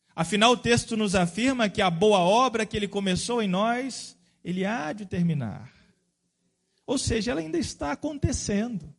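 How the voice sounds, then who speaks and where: Over a quiet background, a man with a high pitch talks at a moderate pace with ordinary pitch variation. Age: 30s. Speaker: pastor. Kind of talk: sermon.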